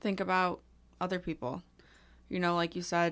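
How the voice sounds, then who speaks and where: A woman speaks at a fairly low pitch in a normal speaking voice. The recording is very clean, with a silent background. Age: 20s. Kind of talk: casual chat. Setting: small padded studio room.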